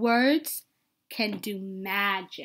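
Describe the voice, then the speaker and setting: In a very clean recording with a silent background, a woman uses a put-on character voice at medium pitch. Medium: read story. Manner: calm, kindly.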